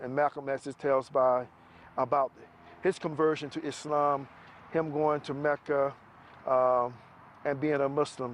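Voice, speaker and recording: The speech comes at a fairly slow pace with an American accent and a monotone, flat intonation. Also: man. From US South, Macon, Georgia. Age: 50s. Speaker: retired army soldier. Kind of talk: testimony. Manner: halting, many fillers.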